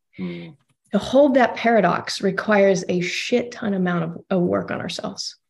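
A woman's normal speaking voice with an American accent, medium pitch, ordinary pitch variation and a moderate pace. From Texas, Austin. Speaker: breathwork facilitator and addiction counselor. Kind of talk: interview conversation.

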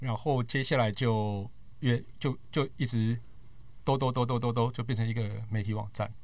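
At a moderate pace, a man talks in a plain, everyday voice. His pitch is medium and his intonation fairly even. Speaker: tech podcaster and media worker. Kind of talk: casual chat.

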